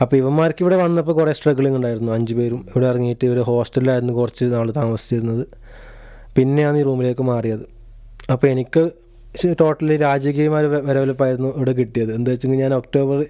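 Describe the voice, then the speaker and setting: This man's voice has a dark, mellow tone at medium pitch, with fairly even intonation. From Kasaragod, northern Kerala. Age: 20s. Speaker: podcast co-host, student. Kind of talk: casual chat.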